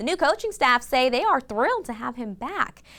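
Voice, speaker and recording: Her pace fairly quick, a woman talks in a high voice. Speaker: sportscaster. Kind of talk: TV sports newscast.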